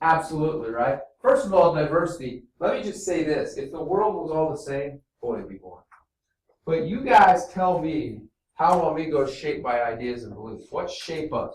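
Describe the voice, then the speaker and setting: A man with an American accent speaks loudly at a moderate pace and fairly high pitch, in an animated tone. His intonation is lively, and audible room echo surrounds him. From small town US Midwest. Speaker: teacher. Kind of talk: classroom lesson. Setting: classroom.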